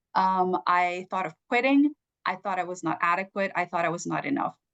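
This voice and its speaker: With a Spanish accent, a woman speaks at a moderate pace and medium pitch in a dry, close sound with no echo. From Puerto Rico. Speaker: communications professional, panelist. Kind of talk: panel discussion answer.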